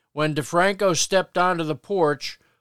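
A man speaks in an unremarkable speaking voice with an American accent, at a moderate pace and with fairly even intonation. The recording is very clean, with a silent background and a dry, close sound with no echo. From Paterson, New Jersey. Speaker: podcast host. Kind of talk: podcast intro and local history narration. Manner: conversational, friendly.

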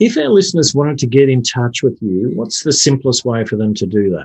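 A man at medium pitch with an Australian accent. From Australia (Brisbane). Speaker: podcast co-host. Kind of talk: podcast interview. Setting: remote call.

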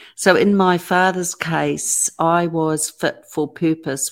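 A woman speaks in a New Zealand accent with a very deep, low pitch. The recording is very clean, with a silent background. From New Zealand, Auckland. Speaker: author and abuse survivor advocate. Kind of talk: interview testimony.

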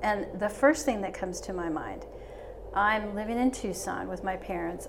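The voice moves at a fairly slow pace over noticeable background noise. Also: woman. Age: 70s. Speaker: interior designer. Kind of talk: casual chat. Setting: studio.

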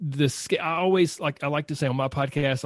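Here is a man with an unremarkable speaking voice and a fairly high pitch. He talks at a fairly quick pace with ordinary pitch variation against a quiet background. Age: 40s. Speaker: nutrition and fitness coach. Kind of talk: interview.

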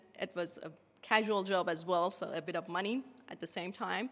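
In a very clean recording with a silent background, a woman with a Persian accent speaks at a moderate pace, medium in pitch and fairly even in intonation. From Iran. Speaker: geodesy researcher. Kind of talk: casual interview. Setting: radio astronomy museum.

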